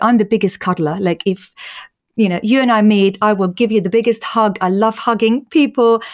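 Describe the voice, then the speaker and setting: A woman speaks with an Austrian accent. Her pitch is medium and her intonation fairly even. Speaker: patient advocate. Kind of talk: interview.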